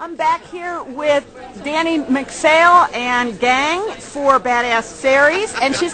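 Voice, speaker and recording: Projecting a raised voice, a woman speaks at a very slow pace. Light background noise can be heard. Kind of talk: casual vlog chat. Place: hall. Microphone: phone near.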